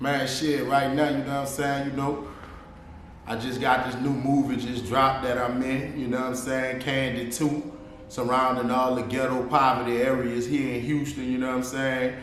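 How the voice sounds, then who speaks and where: Over noticeable background noise and audible room echo, a man with an American accent speaks at a moderate pace in a medium-pitched, monotone, flat voice. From New Orleans, Louisiana (US South). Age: 30s. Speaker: rapper and actor. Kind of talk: casual interview.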